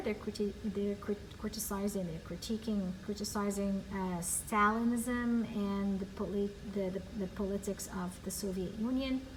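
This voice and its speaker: A woman speaks at a moderate pace and medium pitch, with fairly even intonation and hardly any pauses, over noticeable background noise and audible room echo. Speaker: ESL teacher. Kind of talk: recorded class lesson. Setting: empty classroom.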